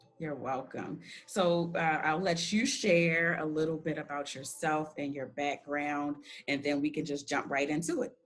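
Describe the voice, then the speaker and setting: A woman with an American accent, her pitch very deep and low, ordinary pitch variation, a fairly slow pace, and noticeable background noise. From Baltimore, Maryland. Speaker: podcast host. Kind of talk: interview.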